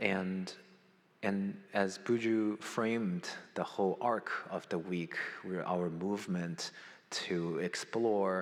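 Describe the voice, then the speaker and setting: A man with a non-native accent speaks at a very slow pace, his very deep, low voice keeping a fairly even intonation. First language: not English. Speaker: conference moderator introducing a speaker. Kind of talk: opening remarks at a conference. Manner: halting, many fillers.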